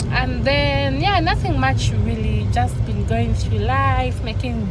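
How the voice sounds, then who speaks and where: Clear music plays behind a woman speaking at a fairly slow pace. The sound is dry, with no echo. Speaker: vlogger. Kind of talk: casual vlog chat. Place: car. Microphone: phone near.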